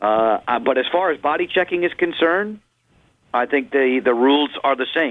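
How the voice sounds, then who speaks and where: At a moderate pace, a man uses an ordinary speaking voice, fairly high in pitch with ordinary pitch variation. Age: 50s. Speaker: hockey play-by-play broadcaster. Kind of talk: radio interview.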